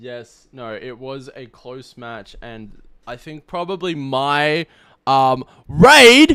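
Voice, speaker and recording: Sounding dry and close with no echo, a man with a bright, sharp tone and medium pitch talks very slowly, with ordinary pitch variation and big swings in loudness. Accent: Australian. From Australia. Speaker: streamer and tournament host. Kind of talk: live stream post-game interview. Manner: animated.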